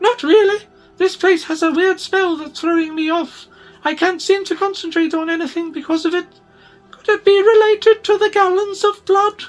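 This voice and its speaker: A female-sounding, put-on character voice squeaks at an extremely high pitch. It moves at a moderate pace with faint music in the background. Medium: read story.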